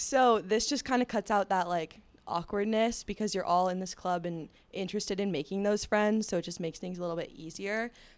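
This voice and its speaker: A plain, everyday voice from a woman, medium in pitch with ordinary pitch variation, at a fairly quick pace on a very clean recording with a silent background. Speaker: engineering student, club officer. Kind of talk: casual chat.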